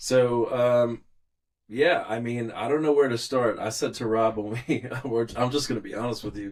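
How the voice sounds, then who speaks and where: An unremarkable speaking voice from a man with an American accent, medium in pitch, at a moderate pace with fairly even intonation. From New York, Long Island. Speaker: musician and producer. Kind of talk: casual chat.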